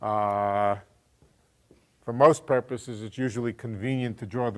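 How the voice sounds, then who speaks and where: The recording is very clean with a silent background. A man with an unremarkable speaking voice talks at a moderate pace in a medium pitch with fairly even intonation. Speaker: physics professor. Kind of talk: lecture.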